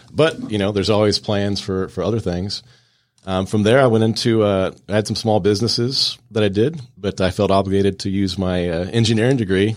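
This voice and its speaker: Speaking at a fairly quick pace, a man with a normal speaking voice and fairly low pitch keeps a fairly even intonation in a very clean recording with a silent background. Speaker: business coach and Air Force veteran. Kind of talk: radio interview. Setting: studio.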